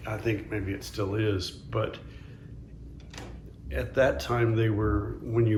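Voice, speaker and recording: A man speaks in a fairly low voice with fairly even intonation. Room echo can be heard. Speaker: interviewee recalling wartime childhood. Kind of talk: oral history interview. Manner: halting.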